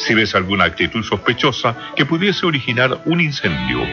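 A man at a moderate pace with very wide pitch swings, clear music in the background. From Chile. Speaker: TV presenter and announcer. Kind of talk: radio public service announcement.

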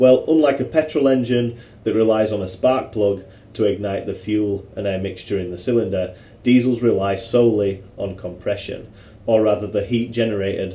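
A normal speaking voice from a man, fairly low-pitched, moderately paced, with ordinary pitch variation. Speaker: presenter. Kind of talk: tutorial. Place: garage. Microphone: camera far.

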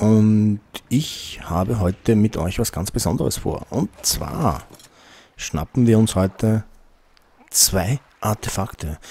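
With an upbeat tone and fairly low pitch, a man speaks at a very slow pace, taking long, frequent pauses, his pitch varying in an ordinary way. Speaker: gaming video host. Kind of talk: let's play commentary. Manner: casual, upbeat. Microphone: studio mic.

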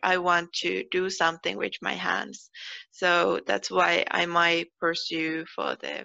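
A woman speaks with a Finnish accent at a fairly slow pace. The background is quiet. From Finland. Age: 20s. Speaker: PhD researcher. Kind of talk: personal interview monologue. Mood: friendly, calm. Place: home room. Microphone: headset.

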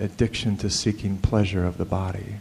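His tone is dark and mellow, pitched fairly low, with flat, monotone intonation. The man speaks at a moderate pace. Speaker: filmmaker. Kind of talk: live storytelling monologue. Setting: live event audience. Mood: earnest, confessional. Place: hall. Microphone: handheld.

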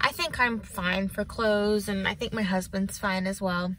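A woman's voice has a bright, sharp tone. The sound is dry, with no echo. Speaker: vlogger. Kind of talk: casual vlog chat. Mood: upbeat, relaxed. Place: car.

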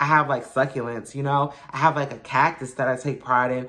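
Someone speaks with a New York accent against a quiet background. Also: woman. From Brooklyn, New York. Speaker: YouTuber, motivational vlogger. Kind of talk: motivational talk to camera. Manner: casual, conversational. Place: home room. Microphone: phone near.

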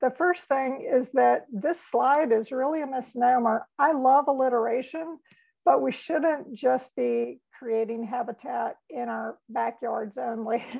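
The background is quiet as a woman speaks fairly slowly. Her voice is high-pitched with ordinary variation. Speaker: webinar presenter. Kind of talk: lecture. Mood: warm, self-deprecating, laughing. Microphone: webcam.

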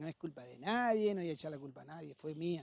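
At a moderate pace, a man speaks with very wide pitch swings in a dry, close sound with no echo. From Argentina, Entre Ríos (San José de Feliciano). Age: 50s. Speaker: football coach and former player. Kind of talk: interview. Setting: football stadium.

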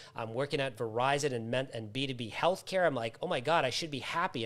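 A man speaks with an American accent at medium pitch. His pace is moderate and his pitch varies in an ordinary way. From US Northeast, Massachusetts. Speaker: author, trainer and recovery coach; coach guest. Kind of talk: live interview. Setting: live online video stream. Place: home room. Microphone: video call.

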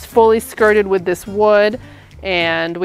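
Faint music plays behind a woman who speaks at a fairly slow pace, the sound dry with no echo. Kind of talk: home tour. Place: street.

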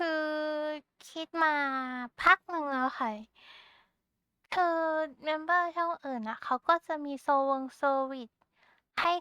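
A woman uses a raised, projected voice with a high pitch and a bright, sharp tone. Her pitch variation is ordinary, and the background is quiet. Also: dry, close sound with no echo. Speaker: Vtuber. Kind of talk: casual talk to camera, rambling. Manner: cute, chatty.

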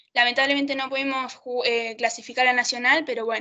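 Talking very fast, a woman uses a high pitch in a monotone, flat intonation. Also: quiet background. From Argentina, Neuquén province. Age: 20s. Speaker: amateur rugby player and university student; interviewee. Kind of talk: interview. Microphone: video call.

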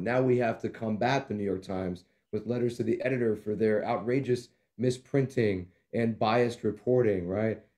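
The voice has a dark, mellow tone and moves at a fairly quick pace over a quiet background. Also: man. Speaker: livestream co-host. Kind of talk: casual political talk show. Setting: studio, streamed live. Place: home room. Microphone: webcam.

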